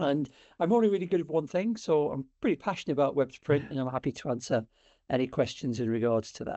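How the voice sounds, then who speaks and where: Talking at a very fast pace, a fairly high-pitched man with a British accent uses lively intonation. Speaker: sales director. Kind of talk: webinar presentation. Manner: hesitant, many fillers.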